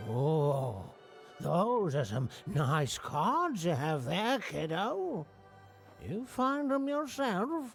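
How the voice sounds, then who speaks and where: Putting on a character voice in a rural American accent, a man speaks at a very slow pace and a high pitch with very wide pitch swings, while clear music plays in the background. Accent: folksy rural American. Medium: video game. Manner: folksy, rambling, stammering.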